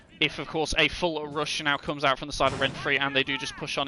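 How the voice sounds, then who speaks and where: Over noticeable background noise, a man speaks very fast with a British accent. His pitch is fairly high. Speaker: esports caster. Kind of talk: live commentary. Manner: fast, flowing play-by-play.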